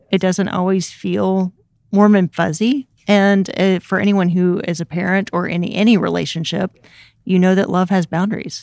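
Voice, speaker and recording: A plain, everyday voice from a woman, medium-pitched with fairly even intonation at a moderate pace, dry and close with no echo on a very clean recording with a silent background. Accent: American. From US South, Memphis, Tennessee. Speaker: church resource coordinator. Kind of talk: casual chat.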